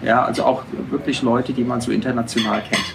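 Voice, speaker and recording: Noticeable background noise and audible room echo accompany a man speaking at a medium pitch. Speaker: photographer. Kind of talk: interview. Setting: restaurant. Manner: hesitant, many fillers.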